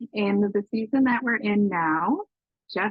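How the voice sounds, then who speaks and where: A woman speaks in a plain, everyday voice at a medium pitch with ordinary pitch variation. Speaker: yoga instructor. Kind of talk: yoga class instruction. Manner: calm, slow.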